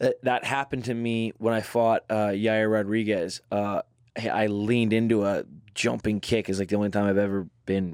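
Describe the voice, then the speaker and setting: A man's fairly low, normal speaking voice at a moderate pace, on a very clean recording with a silent background and a dry, close sound with no echo. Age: 30s. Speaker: professional MMA fighter. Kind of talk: casual interview chat.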